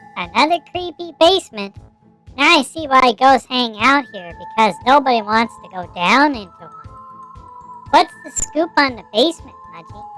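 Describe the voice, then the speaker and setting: A female-sounding, cartoonish character voice speaks in a high pitch. Faint music is in the background. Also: moderate pace. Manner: blunt, exasperated.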